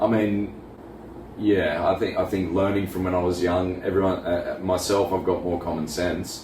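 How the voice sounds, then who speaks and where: Amid noticeable background noise and audible room echo, a man with an Australian accent speaks at a moderate pace in a very deep, low pitch with monotone, flat intonation. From Australia, Wollongong area, New South Wales. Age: 40s. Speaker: scenic artist. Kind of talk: casual interview chat. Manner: halting.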